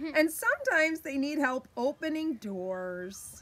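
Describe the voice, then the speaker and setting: In a raised, projected voice, a woman speaks at a very slow pace with very wide pitch swings. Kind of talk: children's story read-aloud. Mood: warm, playful. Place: garden. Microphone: phone near.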